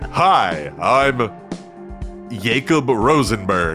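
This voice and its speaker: A man performs a put-on character voice. Clear music plays in the background. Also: medium pitch for a man. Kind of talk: smooth, mid-century radio announcer.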